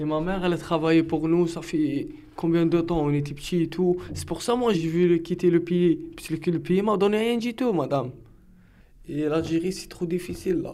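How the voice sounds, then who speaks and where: This man's voice is high-pitched with a dark, mellow tone, ordinary pitch variation and a moderate pace. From Algeria, Algiers. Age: 20s. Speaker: defendant. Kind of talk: testimony. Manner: halting.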